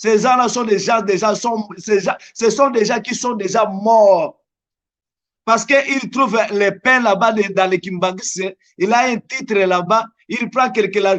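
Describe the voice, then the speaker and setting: A man speaks at a very slow pace with a Congolese accent. His voice is high in pitch. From DR Congo. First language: Lingala (speaking French). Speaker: evangelist. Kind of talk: religious interview.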